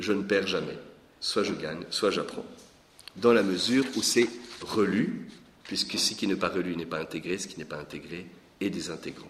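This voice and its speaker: A man speaks at a moderate pace with a fairly low pitch and ordinary pitch variation. He takes long, frequent pauses. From Lorraine, France. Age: 40s. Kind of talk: teaching talk. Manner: hesitant with repetitions.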